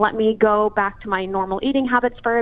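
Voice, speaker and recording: With ordinary pitch variation and medium pitch, a woman talks at a moderate pace in an ordinary speaking voice. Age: 20s. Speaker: fitness influencer. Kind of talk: interview.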